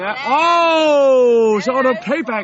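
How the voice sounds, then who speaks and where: Noticeable background noise behind a woman's speech with ordinary pitch variation. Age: 40s. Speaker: amateur tennis player. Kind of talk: testimonial interview. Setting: tennis resort in Turkey.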